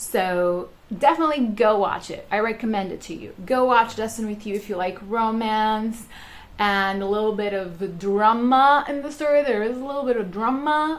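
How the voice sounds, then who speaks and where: With audible room echo, a woman speaks at a moderate pace and fairly high pitch, her loudness swinging widely while her pitch varies in an ordinary way. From Portugal. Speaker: YouTuber. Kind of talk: casual review vlog. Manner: animated.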